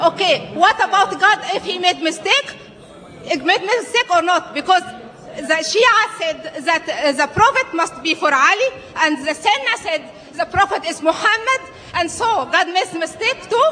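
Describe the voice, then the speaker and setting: Raising and projecting her voice, a woman speaks at an extremely high pitch with lively intonation. Her pace is moderate, with noticeable background noise behind her. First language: not English. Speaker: audience member asking a question. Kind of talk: audience question. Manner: halting.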